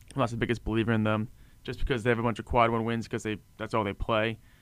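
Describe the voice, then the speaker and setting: A man talks at a very fast pace with a medium pitch and a monotone, flat intonation. The recording is very clean, with a silent background. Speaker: sports podcast co-host. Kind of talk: casual chat.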